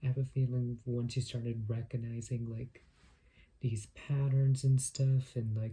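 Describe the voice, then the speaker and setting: A man speaks at a medium pitch and a fairly slow pace. His somewhat breathy voice is dark and mellow, with monotone, flat intonation. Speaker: tarot reader. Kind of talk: tarot reading. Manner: frequent filler words; stuttering.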